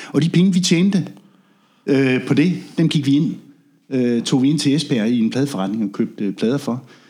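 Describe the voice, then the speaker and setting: This man speaks at a moderate pace with long, frequent pauses, his fairly high voice dark and mellow in tone and lively in intonation. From Denmark, Funen (Ringe, Midtfyn). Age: 50s. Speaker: reggae sound system DJ and drummer. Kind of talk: casual interview. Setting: in-person visit at guests' place.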